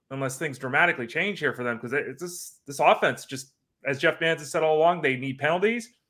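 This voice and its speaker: A fairly high-pitched man speaks fairly quickly in a bright, sharp tone with ordinary pitch variation. The recording is very clean, with a silent background. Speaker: fantasy sports podcast host. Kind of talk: casual chat. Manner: animated, voice rising in pitch.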